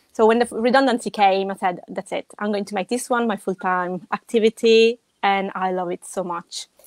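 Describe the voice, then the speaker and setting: Speaking at a moderate pace with fairly even intonation, a woman with a strong Italian accent and medium pitch sounds dry and close, with no echo. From Italy. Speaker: web designer. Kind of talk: podcast interview. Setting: live video stream.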